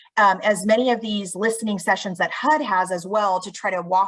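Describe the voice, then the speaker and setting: Using an unremarkable speaking voice, a woman talks at a medium pitch and fairly slow pace with ordinary pitch variation. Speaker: state housing agency presenter. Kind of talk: webinar presentation.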